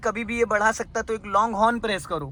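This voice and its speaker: A man with a high pitch uses a raised, projected voice. Noticeable background noise can be heard. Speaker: driving instructor. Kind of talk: in-car driving lesson. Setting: in a car. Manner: stern, scolding.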